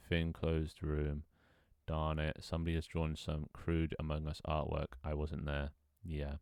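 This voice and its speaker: A man's robotic voice sits at a very deep, low pitch, with monotone, flat intonation. He talks at a fairly slow pace, keeping his loudness very even. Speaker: streamer reading chat. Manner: robotic, narrow pitch range.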